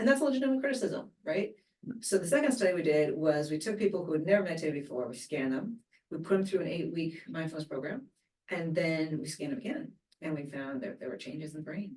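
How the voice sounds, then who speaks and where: Talking at a very fast pace, a woman with a fairly low pitch swings very widely in pitch and greatly in loudness. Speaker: neuroscience researcher. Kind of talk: interview.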